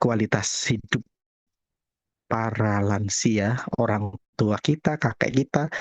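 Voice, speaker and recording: A man with a Javanese accent is heard in a dry, close recording with no echo. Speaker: acupuncturist. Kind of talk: webinar talk. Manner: casual.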